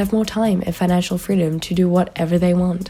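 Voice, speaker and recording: A woman talks at a very fast pace in a fairly low pitch. Noticeable background noise sits behind her. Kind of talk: casual commentary to camera. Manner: monotone.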